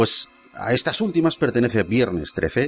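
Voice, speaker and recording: With music in the background, a man talks in a medium pitch. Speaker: podcast host. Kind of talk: dramatic first-person horror narration, scripted.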